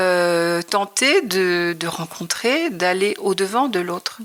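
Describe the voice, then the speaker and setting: This woman speaks at a very slow pace. Her pitch moves in an ordinary way. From Normandy, France (Le Havre). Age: 60s. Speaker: retiree, textile artist. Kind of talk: interview. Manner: hesitant.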